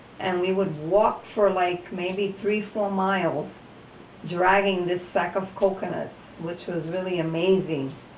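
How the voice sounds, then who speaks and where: Flat, monotone woman's voice at medium pitch and a fairly slow pace, with noticeable background noise. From Puerto Rico. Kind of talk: interview answer, personal reminiscence.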